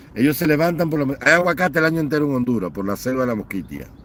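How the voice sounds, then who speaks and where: This man's voice is fairly high. His delivery has lively intonation. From Cuba. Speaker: online political commentator. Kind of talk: livestream commentary rant. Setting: live online stream. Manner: animated, impassioned.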